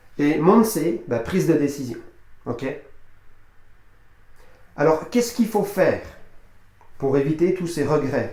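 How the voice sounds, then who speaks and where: A man speaks at a very slow pace with long, frequent pauses. His fairly high voice has lively intonation and audible room echo. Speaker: personal development coach. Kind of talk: motivational talk to camera. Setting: speaking to camera. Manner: hesitant, many fillers and repetitions.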